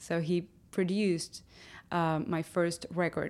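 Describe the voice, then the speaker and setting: Recorded very cleanly against a silent background, a woman speaks with a Spanish accent in a fairly low pitch and fairly even intonation. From Havana, Cuba. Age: 20s. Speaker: rock singer. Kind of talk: interview.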